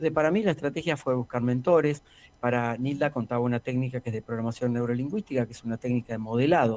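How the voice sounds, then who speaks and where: In a plain, everyday voice, a man speaks at a medium pitch with ordinary pitch variation, the sound dry and close with no echo. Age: 60s. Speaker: executive coach. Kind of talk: interview.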